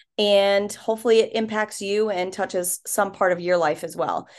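Here a woman has an unremarkable speaking voice at medium pitch. She keeps a moderate pace against a quiet background. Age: 30s. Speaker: podcast host and life coach. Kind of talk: casual chat. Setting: hotel room.

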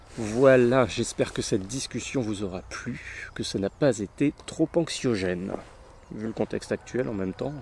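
This man has a normal speaking voice at medium pitch. He talks at a fairly slow pace. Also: ordinary pitch variation. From Brittany (Finistère), France. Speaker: podcast host. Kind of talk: casual chat.

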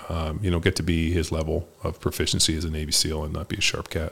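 This man's very deep, low voice is somewhat breathy and delivered in a monotone, flat intonation. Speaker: podcast host and former football player. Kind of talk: solo year-in-review monologue. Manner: casual, profane.

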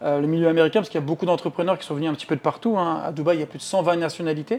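With a dark, mellow tone, a man speaks at a fairly high pitch and with fairly even intonation. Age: 30s. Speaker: real estate agency founder. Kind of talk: interview. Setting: at the guest's home.

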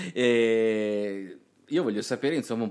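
A man with a medium pitch and fairly even intonation is heard on a very clean recording with a silent background. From Puglia, southern Italy. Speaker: radio host. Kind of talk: radio talk show.

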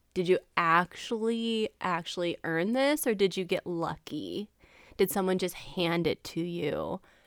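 A woman's animated, fairly slow speech in a dry, close sound with no echo. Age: 30s. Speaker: podcast host. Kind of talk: casual solo monologue.

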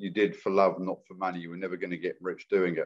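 This man has a very deep, low voice and a slight English accent. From England (London area). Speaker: carpenter, renovation builder. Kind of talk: podcast interview. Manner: casual, hesitant with fillers.

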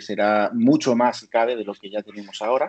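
This man speaks at a medium pitch. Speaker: telecommunications engineer. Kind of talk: expert interview. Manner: talkative.

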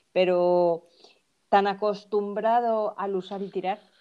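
A woman's medium-pitched voice with a dark, mellow tone and fairly even intonation, against a quiet background. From Mexico (Veracruz). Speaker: fashion brand founder. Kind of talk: casual interview.

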